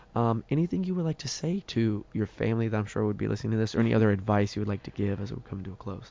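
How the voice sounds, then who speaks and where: Talking very fast with hardly any pauses, a man uses a fairly low voice with ordinary pitch variation. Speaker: college baseball player and podcast host. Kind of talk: casual interview.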